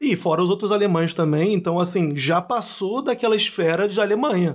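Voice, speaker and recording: Noticeable background noise sits behind the speaker. He is a man with a high-pitched voice. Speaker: podcast host. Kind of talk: podcast interview.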